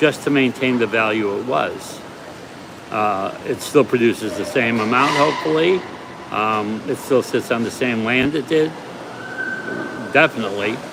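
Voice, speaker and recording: A man with an American accent and medium pitch, ordinary pitch variation, a moderate pace, long and frequent pauses, and noticeable background noise. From United States. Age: 70s. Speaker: part-time delivery driver. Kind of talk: casual livestream talk to camera.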